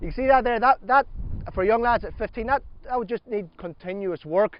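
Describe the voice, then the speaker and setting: A man talks at a fairly quick pace with an Irish accent. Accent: regional Irish accent, noticeable. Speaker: gaelic football coach. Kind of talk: coaching workshop.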